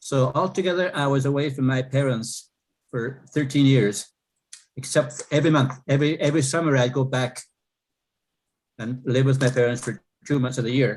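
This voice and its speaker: With long, frequent pauses, a man speaks at a moderate pace in a somewhat breathy, medium-pitched voice with fairly even intonation. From northern Saskatchewan, Canada (Cree community). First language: Cree. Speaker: Cree language teacher, residential school survivor. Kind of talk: testimony in Q&A.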